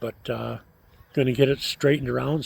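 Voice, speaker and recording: Fairly high in pitch and somewhat breathy, a man speaks at a moderate pace. His intonation is fairly even. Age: 70s. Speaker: vlogger and city council member. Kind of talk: casual vlog monologue. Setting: outdoors by a fire pit. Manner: hesitant, many filler words.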